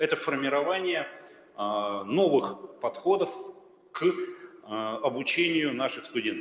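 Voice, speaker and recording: A man speaks at a very slow pace with long, frequent pauses. Noticeable background noise is present. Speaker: university rector. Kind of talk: conference presentation.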